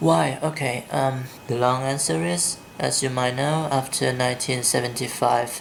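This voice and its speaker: Someone with a Vietnamese accent speaks at a moderate pace against noticeable background noise. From southern Vietnam, Saigon. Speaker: vlogger. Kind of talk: accent tag vlog, questionnaire answers and opinion rant. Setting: filming at home in the dark.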